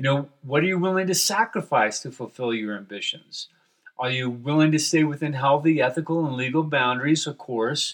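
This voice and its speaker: Pitch rises and falls in a normal way. The delivery is fairly quick. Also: man, fairly high pitch for a man. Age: 60s. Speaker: pastor and podcaster. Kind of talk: reflective solo podcast monologue. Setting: home basement office. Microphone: cheap desktop USB microphone.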